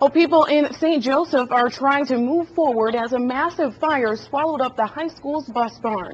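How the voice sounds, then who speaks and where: A woman at a moderate pace, with ordinary pitch variation and noticeable background noise. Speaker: news anchor. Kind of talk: TV news broadcast.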